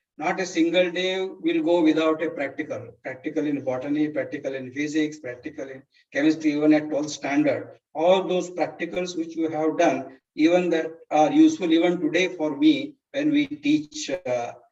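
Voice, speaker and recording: With a Kannada accent, a man speaks at a fairly high pitch and a moderate pace. His intonation stays fairly even and he hardly pauses at all. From India, Karnataka border village near Solapur. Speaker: teacher. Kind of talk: life story talk. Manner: halting, many fillers.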